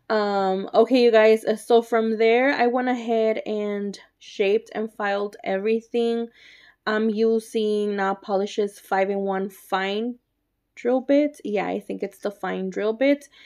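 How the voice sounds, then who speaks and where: Fairly slow speech in a Spanish accent with fairly even intonation, on a very clean recording with a silent background. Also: woman, fairly high pitch for a woman. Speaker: nail artist YouTuber. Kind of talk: tutorial. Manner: casual, chatty.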